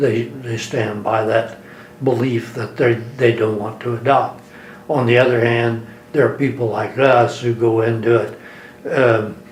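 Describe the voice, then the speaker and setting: Monotone and flat, a man talks at a fairly slow pace against noticeable background noise. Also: medium pitch for a man. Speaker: attorney. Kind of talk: interview answer.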